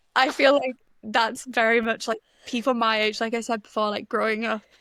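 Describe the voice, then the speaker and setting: This woman has a slight North East English accent and a fairly high pitch, speaking at a fairly quick pace. Her delivery is monotone and flat, on a very clean recording with a silent background. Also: dry, close sound with no echo. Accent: slight North East English, mainly in vowels. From North East England, Stockton-on-Tees. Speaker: music journalist and writer. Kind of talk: casual chat.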